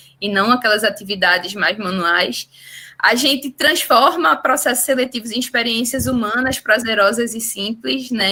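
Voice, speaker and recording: This woman has a strong Recife accent. She speaks at a moderate pace with ordinary pitch variation. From Brazil, Recife (Pernambuco). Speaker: startup representative and webinar host. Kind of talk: webinar introduction. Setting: video call / online webinar.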